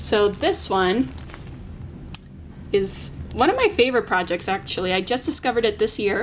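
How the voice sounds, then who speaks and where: A woman speaks with very even loudness and long, frequent pauses. Noticeable background noise can be heard. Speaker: art teacher. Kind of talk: tutorial. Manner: fast.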